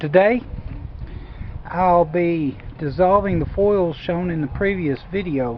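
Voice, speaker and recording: Very slow speech broken by long, frequent pauses, over noticeable background noise. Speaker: hobbyist gold refiner. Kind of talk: tutorial. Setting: outdoors.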